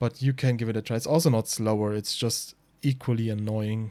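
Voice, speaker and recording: With a German accent, a man talks at a fairly quick pace in a medium-pitched, dark, mellow voice with fairly even intonation. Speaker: speedrunner. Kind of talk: tutorial. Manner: halting.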